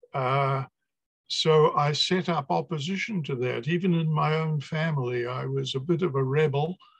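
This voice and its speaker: Fairly high in pitch, a man speaks with a New Zealand accent at a moderate pace. His voice is somewhat breathy, with fairly even intonation. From New Zealand, Napier. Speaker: poet and academic. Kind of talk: video call interview.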